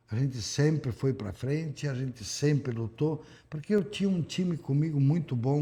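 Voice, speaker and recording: Recorded very cleanly against a silent background, a man speaks at a moderate pace in a somewhat breathy voice with a fairly high pitch and ordinary pitch variation. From Rio Grande do Sul, Brazil. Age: 70s. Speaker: politician, former mayor. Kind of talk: interview.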